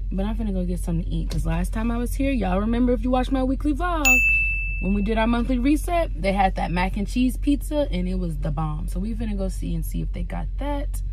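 Someone talks at a very fast pace over faint background music, the sound dry with no echo. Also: woman. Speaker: truck driver vlogger. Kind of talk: casual vlog chat. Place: car. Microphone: phone near.

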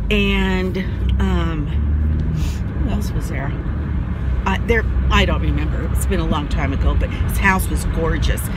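A woman's voice at a fairly slow pace with ordinary pitch variation, dry with no echo, over loud background noise. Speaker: vlogger. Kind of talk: casual vlog chat. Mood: chatty, animated storytelling. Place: car. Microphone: phone near.

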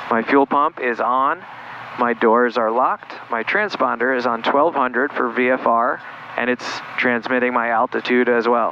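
A man at a moderate pace, with very even loudness, fairly even intonation and light background noise. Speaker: pilot instructor. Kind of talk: tutorial. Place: plane. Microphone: headset.

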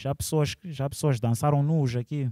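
A man's dark, mellow tone at a moderate pace, in a dry sound with no echo and a quiet background. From Maputo, Mozambique. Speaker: musician and multidisciplinary artist; interviewee. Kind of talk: interview. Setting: cultural centre venue. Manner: casual, with English interjections. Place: hall. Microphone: handheld.

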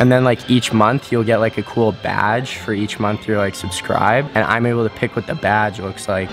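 Over clear background music, a man speaks at a moderate pace with hardly any pauses. His voice sits fairly low, and his intonation is fairly even. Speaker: gymnast vlogger. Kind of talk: casual vlog chat. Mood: amused, relaxed. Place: home room. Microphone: phone near.

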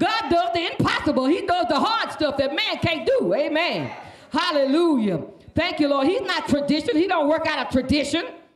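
A woman speaks at a moderate pace with an extremely high pitch and very wide swings in it. Light background noise and audible room echo can be heard. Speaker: preacher, pastor's wife. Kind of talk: sermon. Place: church. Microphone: handheld.

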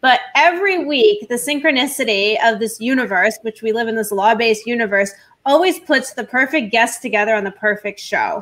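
A woman with a fairly high pitch speaks in an ordinary speaking voice at a fairly quick pace, with lively intonation and hardly any pauses. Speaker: talk show host and lawyer; talk show host, lawyer. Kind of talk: roundtable interview. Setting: live online stream. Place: home room. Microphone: webcam.

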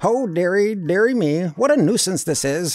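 Using a put-on character voice, a man talks at a fairly slow pace with a high pitch. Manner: grumbling, muttering, fussy.

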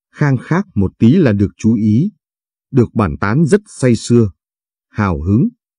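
Recorded dry and close with no echo, a man talks very slowly in a dark, mellow, somewhat breathy tone, his pitch swinging very widely. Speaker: story narrator. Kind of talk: scripted narration, reading a story aloud.

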